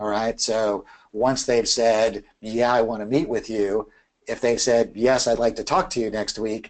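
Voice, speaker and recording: A man's medium-pitched, moderately paced voice with fairly even intonation, an unremarkable speaking voice. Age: 50s. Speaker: keynote speaker and sales trainer. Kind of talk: webinar Q&A. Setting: online web class. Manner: casual, filler-heavy.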